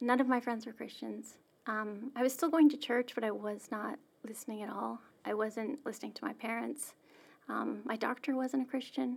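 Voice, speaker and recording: A woman with a fairly high pitch and vocal fry talks at a moderate pace with fairly even intonation. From Saskatchewan, Canada. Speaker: church staff member sharing personal story. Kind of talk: interview, personal testimony.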